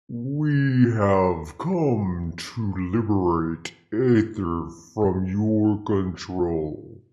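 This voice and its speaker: A resonant, put-on character voice. It talks very slowly with hardly any pauses. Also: man, fairly low pitch for a man. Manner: loud, declarative.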